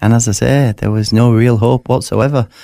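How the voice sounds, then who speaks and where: In a Yorkshire accent, a man speaks with a dark, mellow tone on a very clean recording with a silent background. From West Yorkshire, northern England. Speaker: author, burn survivor telling his faith story. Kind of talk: interview testimony. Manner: halting, many fillers and repetitions.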